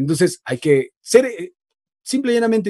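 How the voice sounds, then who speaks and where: A man's dark, mellow tone at a moderate pace, with lively intonation, a dry sound with no echo and a quiet background. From Ecuador, Loja; Ecuador. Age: 20s. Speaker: voice-over artist and radio announcer; radio announcer. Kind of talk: casual interview chat. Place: studio. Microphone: video call.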